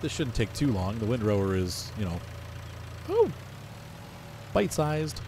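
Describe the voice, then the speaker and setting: A man's somewhat breathy voice at medium pitch, dark and mellow in tone, with lively intonation, a moderate pace and long, frequent pauses. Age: 40s. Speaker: gaming YouTuber. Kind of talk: gameplay commentary. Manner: casual, rambling narration.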